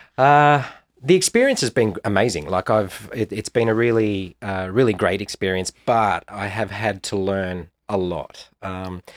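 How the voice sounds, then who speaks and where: A man with an Australian accent, fairly low pitch and ordinary pitch variation, at a fairly slow pace, dry and close with no echo on a very clean recording with a silent background. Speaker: actor. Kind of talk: interview. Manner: hesitant, many fillers.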